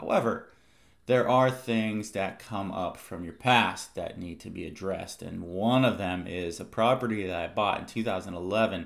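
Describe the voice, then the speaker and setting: A man with a fairly low pitch speaks at a moderate pace, his pitch varying in an ordinary way while his loudness swings widely. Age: 40s. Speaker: podcast host. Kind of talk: solo podcast monologue. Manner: self-conscious, somewhat halting.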